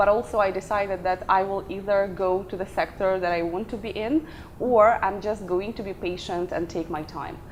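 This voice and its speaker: Moderately paced speech with ordinary pitch variation under noticeable background noise. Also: woman, medium pitch for a woman. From Ukraine, Odessa. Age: 30s. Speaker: career coach and company founder. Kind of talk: interview.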